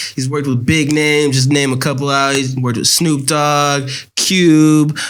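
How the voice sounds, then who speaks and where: A man speaks in a fairly high, flat monotone at a fairly slow pace. Room echo is audible and background noise is noticeable. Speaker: podcast host. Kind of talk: casual interview chat.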